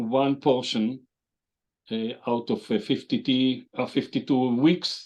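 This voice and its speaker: In an Israeli accent, a man at medium pitch talks at a fairly slow pace with ordinary pitch variation against a quiet background. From Israel, Jerusalem. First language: Hebrew. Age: 70s. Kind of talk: interview. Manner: halting, with many fillers.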